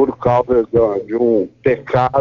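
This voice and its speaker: A man speaks at a very slow pace. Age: 60s. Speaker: biologist and professor. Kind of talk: radio interview.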